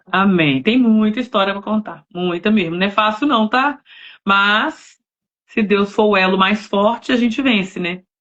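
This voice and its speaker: This woman has an unremarkable speaking voice, a medium pitch and ordinary pitch variation. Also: fairly slow pace. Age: 40s. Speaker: novelist, missionary. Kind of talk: casual chat. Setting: live stream.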